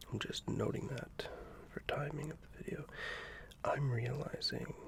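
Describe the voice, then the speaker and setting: Whispering at a fairly slow pace. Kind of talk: soft-spoken ASMR drawing video, casual talk to camera. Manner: soft-spoken.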